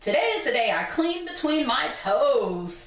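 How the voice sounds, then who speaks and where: A woman performs a put-on character voice at an extremely high pitch. She keeps a moderate pace, with a slight echo. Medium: read story. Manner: prissy, self-absorbed.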